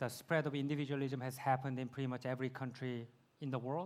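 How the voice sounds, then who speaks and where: With a Korean accent, a man speaks in a flat, monotone way. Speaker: YouTube creator, speaker. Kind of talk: Q&A answer at conference. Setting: conference stage with audience.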